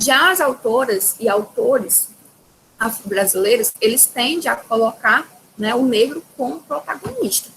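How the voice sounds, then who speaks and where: A woman with an unremarkable speaking voice talks at a fairly slow pace. Her pitch is fairly high and her intonation lively. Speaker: teacher. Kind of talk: lecture.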